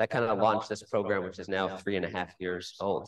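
A man speaks very quickly, with little behind him but a quiet background. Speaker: event host, moderator. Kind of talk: formal introduction. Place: hall.

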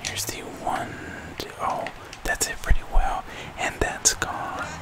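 Someone whispers at a fairly slow pace. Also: man. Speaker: video game streamer / YouTuber. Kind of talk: live play-by-play style gameplay commentary. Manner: casual, reactive. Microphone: studio mic.

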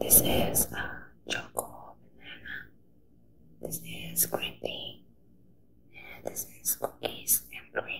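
Very slow whispering from a woman, long and frequent pauses between words. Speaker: ASMR creator. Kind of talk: ASMR eating video with whispering. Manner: whispered. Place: home room. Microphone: phone near.

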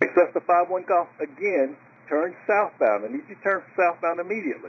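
With lively intonation and a slightly husky edge, a man talks at a fairly quick pace in a high pitch.

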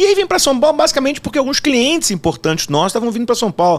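A man is speaking. His pitch swings very widely. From Rio de Janeiro, Brazil. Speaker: tax lawyer. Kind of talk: casual interview. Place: studio. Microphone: studio mic.

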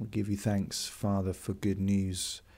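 In an English accent, a man with a very deep, low pitch talks at a fairly slow pace in a monotone, flat intonation. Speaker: priest leading daily prayer. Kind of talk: fervent intercessory prayer, led aloud to listeners. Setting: video recording for online worship. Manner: slow, hushed and reverent, with pauses; earnest, heartfelt, a little hesitant.

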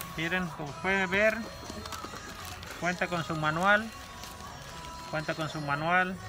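Clear music plays in the background as a man speaks fairly slowly at a high pitch. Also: dry sound with no echo. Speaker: shop seller. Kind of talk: product unboxing presentation. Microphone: phone near.

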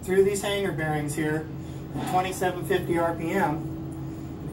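A man keeps his intonation fairly even, with noticeable background noise behind him. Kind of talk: tutorial. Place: street.

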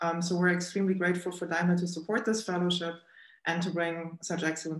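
The background is quiet. Room echo is audible. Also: woman. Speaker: event host. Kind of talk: formal introduction. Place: office. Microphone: webcam.

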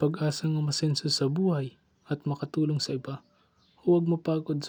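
The voice has a dark, mellow tone, somewhat breathy, with monotone, flat intonation at a moderate pace, on a very clean recording with a silent background. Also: man. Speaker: student performing a poem. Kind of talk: spoken word poetry performance.

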